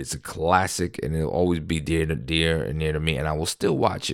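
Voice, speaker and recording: A man with an American accent and a very deep, low pitch talks very fast on a very clean recording with a silent background. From New York City. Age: 30s. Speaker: podcast host. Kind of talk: casual solo podcast monologue. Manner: rambling, conversational storyteller.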